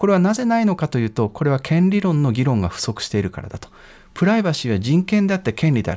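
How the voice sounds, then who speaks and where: Delivered at a very fast pace, the voice has a dark, mellow tone, very wide pitch swings and big swings in loudness. The recording is very clean, with a silent background. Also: man, fairly high pitch for a man. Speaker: law professor. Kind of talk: expert interview. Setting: studio. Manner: formal.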